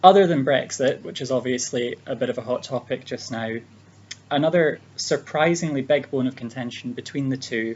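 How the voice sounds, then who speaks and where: In a Scottish accent, a man speaks at a moderate pace with ordinary pitch variation. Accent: Scottish accent, noticeable. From Scotland. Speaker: speech giver for interpreting practice. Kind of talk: prepared speech for interpreter trainees. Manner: hesitant, many fillers.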